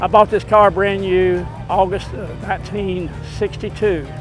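Clear music playing behind a man who talks at a moderate pace. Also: dry sound with no echo. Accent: Texan. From East Texas. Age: 80s+. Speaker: military veteran. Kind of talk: interview answer. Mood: nostalgic, warm storytelling. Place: street.

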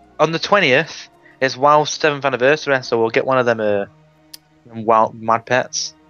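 With music in the background, a man in a Mancunian accent talks at a moderate pace and medium pitch, keeping his loudness very even and his pitch variation ordinary. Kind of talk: casual gaming commentary.

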